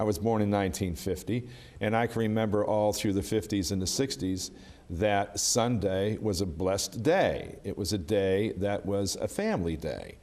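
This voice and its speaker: A man speaks with an unremarkable speaking voice, pitched fairly low. His pace is moderate and his intonation fairly even. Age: 60s. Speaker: union official. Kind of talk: interview.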